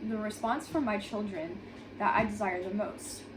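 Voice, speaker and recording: Over noticeable background noise, a woman speaks at a moderate pace and a fairly high pitch. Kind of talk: devotional read aloud. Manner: stuttering.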